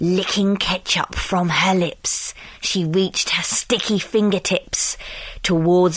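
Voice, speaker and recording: A woman talks very slowly while noticeable background noise can be heard. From United Kingdom. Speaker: voice actor. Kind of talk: children's story reading.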